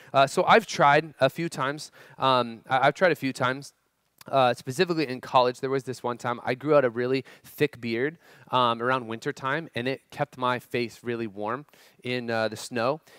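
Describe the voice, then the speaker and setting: A man at a moderate pace with fairly even intonation, a dry sound with no echo and a quiet background. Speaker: youth pastor. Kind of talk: sermon. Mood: humorous personal story. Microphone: headset.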